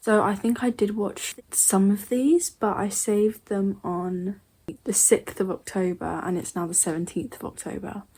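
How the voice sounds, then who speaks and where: A woman's somewhat breathy voice, medium in pitch, with a dark, mellow tone, ordinary pitch variation and a moderate pace. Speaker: YouTuber reacting to scary videos. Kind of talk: casual reaction commentary.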